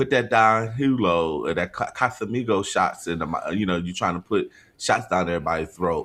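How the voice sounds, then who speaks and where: A man speaks at a moderate pace in a fairly low pitch, with a normal speaking voice. His intonation is lively. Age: 40s. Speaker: podcast co-host. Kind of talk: casual chat.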